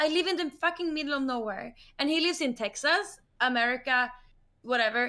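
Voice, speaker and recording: A woman with a Swedish accent uses a raised, projected voice at a high pitch, with a bright, sharp, animated tone. Her pitch varies in an ordinary way and her pace is moderate. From northern Sweden. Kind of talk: heated debate.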